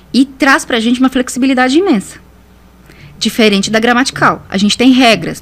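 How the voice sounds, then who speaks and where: Noticeable background noise runs throughout. The woman keeps a moderate pace. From Brazil, Piauí (Northeast). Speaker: communication specialist. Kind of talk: podcast interview. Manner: repetitive stammering fillers.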